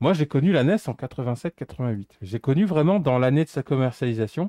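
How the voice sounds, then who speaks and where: A man's dark, mellow tone with lively intonation at a moderate pace, dry with no echo over a quiet background. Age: 40s. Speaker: retro gamer; streamer repairing electronics. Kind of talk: casual chat. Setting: live stream. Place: home room.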